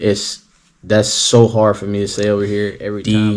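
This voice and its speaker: A man with a Southern US accent speaks in a fairly low pitch. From US South. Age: 30s. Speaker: athlete and coach. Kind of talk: casual vlog talk. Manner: hesitant, many fillers.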